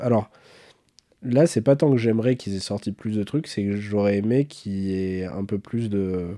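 A man speaks at a fairly low pitch and a fairly slow pace, with a dark, mellow tone. The recording is very clean with a silent background. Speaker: watch podcast co-host. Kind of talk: casual chat.

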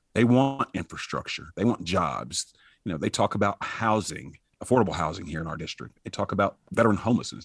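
The man's voice comes across dry and close, with no echo. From Alabama. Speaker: congressional candidate, army veteran. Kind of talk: interview.

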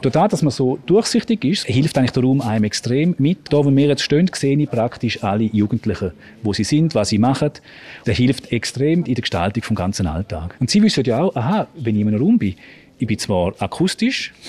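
Somewhat breathy and dark, mellow in tone, a man speaks at a medium pitch and fairly quick pace. His pitch swings very widely, and the sound is dry and close with no echo. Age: 40s. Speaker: school principal. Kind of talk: interview on location. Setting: on location in a school building.

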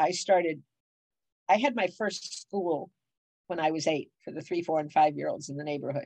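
A woman's very deep, low voice with an American accent, at a moderate pace with long, frequent pauses and ordinary pitch variation. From Cleveland, Ohio. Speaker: business consultant. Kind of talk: interview.

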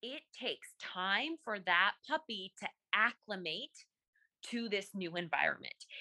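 Bright, sharp tone at a fairly slow pace, lively intonation, dry, close sound with no echo. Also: woman, medium pitch for a woman. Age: 30s. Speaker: life and mindset coach. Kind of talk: casual interview chat.

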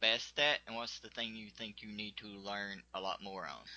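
With a Southern US accent, a man talks at a fairly slow pace. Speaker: podcast interviewer. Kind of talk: casual interview chat. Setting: video or phone call.

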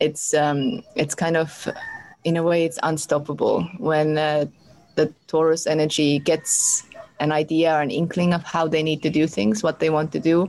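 A woman's very deep, low voice at a moderate pace, fairly even in intonation, over noticeable background noise. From Europe. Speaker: astrologer. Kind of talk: interview.

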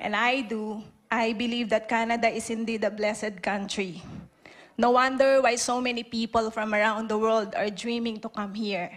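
A woman talks at a fairly high pitch with monotone, flat intonation. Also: moderate pace. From Philippines. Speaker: immigrant church member giving testimony. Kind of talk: testimony.

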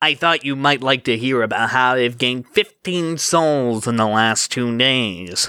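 Using a put-on character voice, a man talks at a fairly slow pace in a medium pitch with hardly any pauses. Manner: smarmy.

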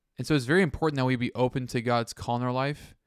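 The recording is very clean with a silent background, carrying a man's normal speaking voice at medium pitch, fairly quick and with fairly even intonation. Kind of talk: faith-based podcast discussion.

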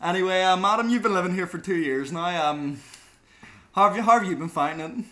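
Raised and projected, a man's voice comes at a high pitch and a very fast pace, bright and sharp in tone, with ordinary pitch variation. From Northern Ireland, Belfast. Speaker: podcast host, university student. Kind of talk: casual chat.

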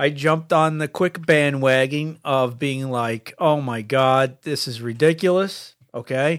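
Delivered at a fairly slow pace, an ordinary speaking voice moves with ordinary pitch variation. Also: man, fairly high pitch for a man. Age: 50s. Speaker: podcast co-host. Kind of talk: casual chat.

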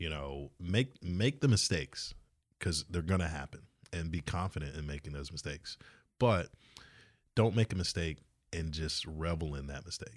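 A man with an American accent speaks at a moderate pace in a very deep, low voice, with big swings in loudness, ordinary pitch variation and long, frequent pauses, on a very clean recording with a silent background. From US South, coastal Georgia near Savannah. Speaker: bar company executive. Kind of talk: casual interview.

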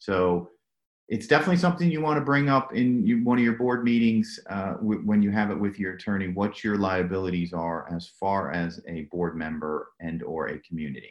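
A man has an ordinary speaking voice with fairly low pitch. His intonation is lively and his pace moderate. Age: 50s. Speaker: pipe replacement company executive. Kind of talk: interview.

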